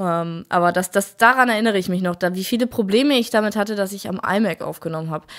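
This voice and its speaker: Very fast pace and ordinary pitch variation over a quiet background. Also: woman. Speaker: gaming YouTuber. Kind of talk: casual commentary over gameplay video. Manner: animated. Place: home room.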